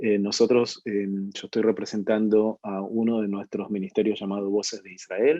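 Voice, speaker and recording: A man with an Argentine accent, fairly low in pitch, fairly even in intonation, at a moderate pace. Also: hardly any pauses, big swings in loudness. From Argentina. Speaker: ministry leader, webinar speaker. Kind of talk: online webinar talk. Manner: hesitant, many fillers and repetitions.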